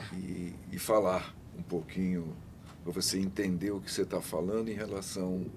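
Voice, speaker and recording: Audible room echo surrounds a man whose very deep, low voice holds a monotone, flat intonation. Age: 70s. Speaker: father of a guest with Down syndrome, former council member. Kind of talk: casual chat.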